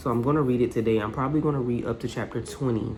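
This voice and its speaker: A woman with a very deep, low pitch and ordinary pitch variation speaks amid noticeable background noise and an audible room echo. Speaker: booktuber. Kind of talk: casual vlog. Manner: animated.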